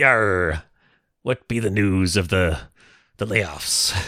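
Over a silent background in a very clean recording, a man puts on a raspy character voice, fairly low in pitch and very slow. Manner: jokey.

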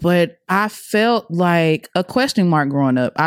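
Here is a woman with a plain, everyday voice and an American accent, speaking at a fairly slow pace with fairly low pitch and lively intonation. The recording is very clean with a silent background, and the sound is dry and close with no echo. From US South, Atlanta. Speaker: podcast crew member and mother. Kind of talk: personal testimony.

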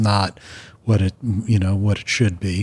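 Somewhat breathy, a man with an American accent speaks in a very clean recording with a silent background. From Long Island, New York. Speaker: journalist and music critic. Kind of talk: casual interview.

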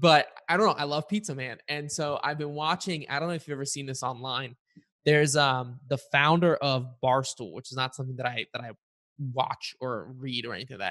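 Speaking at a fairly quick pace with an American accent, a man uses a fairly high pitch with ordinary pitch variation against a quiet background. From Bulgaria. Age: 20s. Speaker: podcast host. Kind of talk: interview. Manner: casual, filler-heavy.

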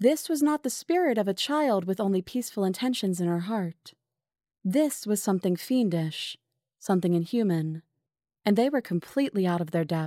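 On a very clean recording with a silent background, a woman at medium pitch speaks at a moderate pace with lively intonation and a dark, mellow, dramatic tone. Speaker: narrator of horror episode. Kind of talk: scripted horror narration. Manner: dramatic, suspenseful, measured pacing; vivid and ominous, building dread.

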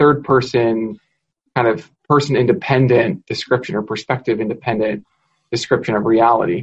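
At a moderate pace, the speaker's somewhat breathy voice shows ordinary pitch variation. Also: man. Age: young. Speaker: philosophy professor. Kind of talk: casual academic conversation.

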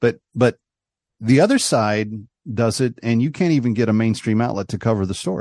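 Speaking at a fairly quick pace, a man has medium pitch and ordinary pitch variation. It is an unremarkable speaking voice, heard over a quiet background. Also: dry, close sound with no echo. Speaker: radio talk show host. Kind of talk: political talk radio interview.

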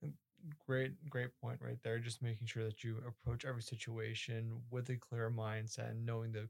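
The voice is somewhat breathy and delivered in a flat, monotone intonation. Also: man. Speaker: podcast host. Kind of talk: interview.

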